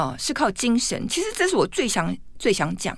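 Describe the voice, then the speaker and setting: Against a silent background, the recording is very clean. A woman speaks at a medium tempo. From Taiwan, Taipei. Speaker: etiquette expert and author. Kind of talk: radio interview. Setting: radio studio. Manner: wild laugh.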